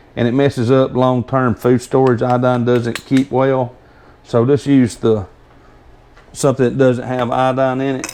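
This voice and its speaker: Speaking in a strong Southern US accent, a man holds a medium pitch with monotone, flat intonation. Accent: strong Southern drawl. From US South. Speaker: homesteader demonstrating canning. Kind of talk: tutorial. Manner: hesitant, stumbling over words; casual, rambling.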